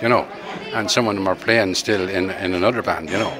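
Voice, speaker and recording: A man speaks in an Irish Midlands accent with fairly even intonation. Audible room echo and crowd noise in the background fill the recording. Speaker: former band member. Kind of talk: interview.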